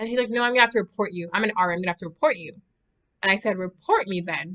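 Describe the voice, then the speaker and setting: A woman speaks very fast in a bright, sharp tone. Her loudness swings widely. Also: medium pitch for a woman, ordinary pitch variation. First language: not English. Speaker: university student. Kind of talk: casual talk to camera.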